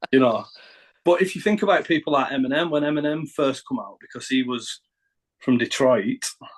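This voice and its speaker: A man's fairly high voice with a Northern English accent at a fairly quick pace. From northern England. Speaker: rapper. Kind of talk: interview. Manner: halting.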